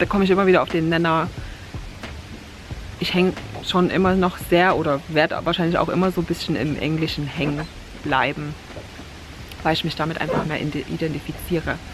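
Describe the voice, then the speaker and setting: A woman with a fairly low pitch talks at a fairly quick pace, yet with long, frequent pauses and fairly even intonation. Noticeable background noise is heard. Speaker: vlogger. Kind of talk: casual vlog talk. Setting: outdoors by the water, rain starting.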